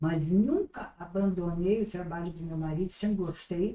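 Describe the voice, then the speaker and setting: A woman's medium-pitched voice, dark and mellow in tone, at a fairly slow pace with fairly even intonation. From southern Brazil, Rio Grande do Sul (Salvador do Sul). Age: 80s+. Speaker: retired businesswoman. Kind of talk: interview. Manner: halting.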